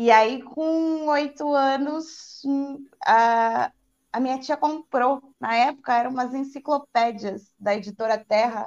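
A woman with a high pitch speaks with a dry, close sound and no echo. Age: 30s. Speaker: tarot reader. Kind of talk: casual chat.

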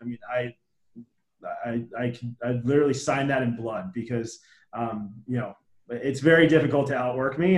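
A man with a plain, everyday voice, medium pitch and fairly even intonation at a fairly quick pace. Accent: American. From New Jersey, near Trenton. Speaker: business founder and CEO. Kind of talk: interview.

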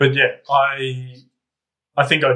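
This man speaks with an Australian accent in a medium pitch, his tone bright and sharp. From Canberra, Australia. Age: 30s. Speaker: podcast guest. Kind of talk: casual chat.

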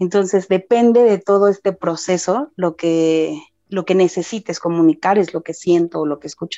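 A woman at a medium pitch and a moderate pace. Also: ordinary pitch variation. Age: 30s. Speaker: spiritual medium. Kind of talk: casual interview.

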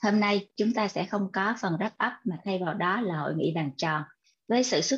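In a quiet background, a woman speaks at a medium pitch and moderate pace. Her voice is somewhat breathy, with ordinary pitch variation. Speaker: co-host MC of online book club. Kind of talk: live online event hosting.

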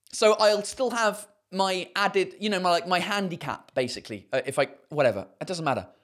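Delivered at a fairly quick pace, the words come in a British accent. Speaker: stand-up comedian and podcast host. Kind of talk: casual live-streamed podcast chat. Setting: live stream, talking to chat. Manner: casual, chatty, profane, animated.

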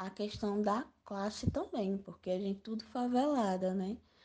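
Somewhat breathy, a woman talks at a medium pitch with ordinary pitch variation. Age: 20s. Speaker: community activist. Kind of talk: interview. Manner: casual, slangy.

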